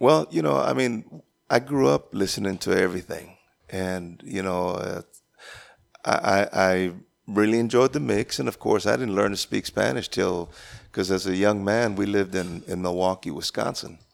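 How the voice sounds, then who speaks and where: Speech at a moderate pace with ordinary pitch variation comes through a very clean recording with a silent background. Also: man, very deep, low pitch for a man. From Texas. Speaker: Tejano musician. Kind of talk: casual interview chat.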